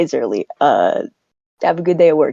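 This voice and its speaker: Put-on character voice, raspy, moving at a moderate pace. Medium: actual play. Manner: casual, rambling.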